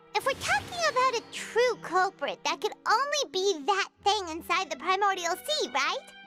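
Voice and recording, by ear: Clear music plays in the background. Over it comes a cartoonish character voice at an extremely high pitch. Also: moderate pace.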